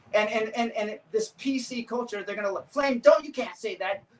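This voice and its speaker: Over noticeable background noise, a man with an extremely high pitch and ordinary pitch variation speaks at a fairly quick pace in an animated tone with big swings in loudness. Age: 60s. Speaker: veteran street dancer. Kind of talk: casual chat.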